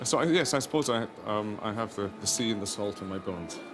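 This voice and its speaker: A man with a Scottish accent speaks fairly quickly at a fairly low pitch. Music plays in the background, and audible room echo surrounds him. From Scotland, Edinburgh. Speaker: opera conductor. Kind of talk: interview. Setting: backstage at opera house, outside orchestra pit.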